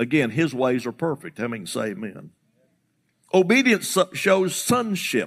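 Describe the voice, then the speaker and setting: Fairly high in pitch, this man's voice has vocal fry and an animated tone. He speaks at a fairly slow pace with very wide pitch swings. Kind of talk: sermon. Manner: animated, emphatic call-and-response preaching cadence.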